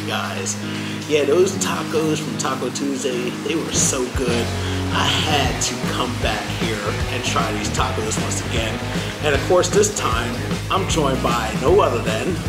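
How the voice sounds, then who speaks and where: Loud music plays in the background. Over it, a man talks at a fairly slow pace. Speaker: food vlogger. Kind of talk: casual vlog chat. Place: cafe.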